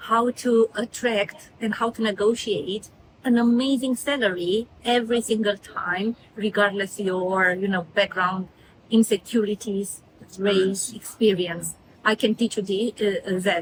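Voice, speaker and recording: A woman with a Romanian accent speaks at a medium pitch and a fairly slow pace, her intonation fairly even. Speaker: career mentor. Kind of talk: motivational talk. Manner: halting, many fillers.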